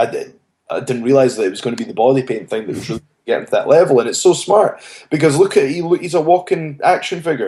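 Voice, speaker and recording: A very fast pace, in a Scottish accent. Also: man, big swings in loudness. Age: 20s. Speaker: professional wrestler. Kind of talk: interview.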